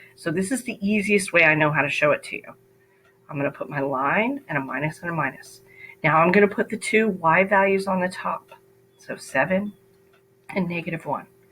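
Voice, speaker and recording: Over music in the background, a woman talks at a fairly quick pace with lively intonation and a medium pitch. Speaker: math teacher. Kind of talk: tutorial.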